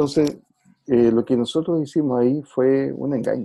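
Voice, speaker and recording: With a Chilean accent, a man speaks at a moderate pace in a fairly high voice, his tone dark and mellow and his pitch varying in an ordinary way. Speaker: music teacher and former school principal. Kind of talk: interview conversation.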